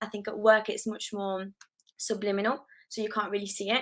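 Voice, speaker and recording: Her tone bright and sharp, a woman speaks at medium pitch in a monotone with flat intonation. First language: not English. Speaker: product designer, panelist. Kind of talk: panel discussion. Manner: hesitant, many fillers.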